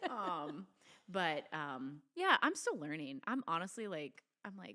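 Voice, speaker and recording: A woman with a fairly low pitch and a bright, sharp tone uses lively intonation and big swings in loudness. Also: fairly slow pace. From Italian-American family, New York roots. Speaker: mom podcast co-host. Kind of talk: casual chat.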